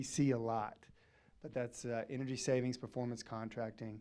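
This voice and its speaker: At a moderate pace, a man talks with a Southern US accent. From Arkansas. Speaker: energy services company representative. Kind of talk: presentation to city council. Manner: loud.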